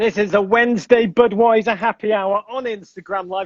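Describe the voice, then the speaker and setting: The voice carries an English accent at a moderate pace. Its sound is dry and close, with no echo. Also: man. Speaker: podcast host. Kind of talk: casual chat. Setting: Instagram live video stream. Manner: animated.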